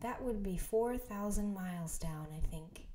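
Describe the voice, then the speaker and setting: Soft-spoken and calm, a woman speaks at a medium pitch and a fairly slow pace. Her intonation is lively, with noticeable background noise. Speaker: ASMR creator. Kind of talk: bedtime story reading. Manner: softly spoken, calm.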